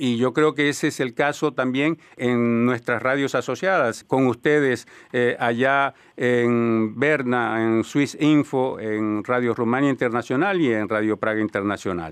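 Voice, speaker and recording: A man with a plain, everyday voice speaks at a fairly slow pace with hardly any pauses, medium in pitch with ordinary pitch variation. His loudness stays very even against a quiet background. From Colombia. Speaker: radio host. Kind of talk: radio panel discussion. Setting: studio.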